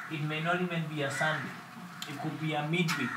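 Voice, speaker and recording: A man is speaking in a room with audible echo. Loud background noise runs underneath. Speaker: pastor. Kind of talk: sermon. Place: church.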